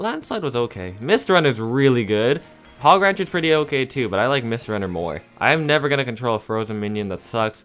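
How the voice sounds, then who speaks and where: Music plays behind a man of medium pitch who talks at a fairly quick pace with very wide pitch swings. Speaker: gaming content creator. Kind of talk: casual live gameplay commentary. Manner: fast.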